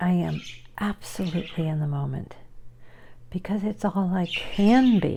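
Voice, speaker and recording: The voice has a dark, mellow tone and is somewhat breathy. It shows ordinary pitch variation and long, frequent pauses. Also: woman, fairly low pitch for a woman. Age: 60s. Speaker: video blogger and artist. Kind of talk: casual personal vlog monologue. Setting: at home with pets.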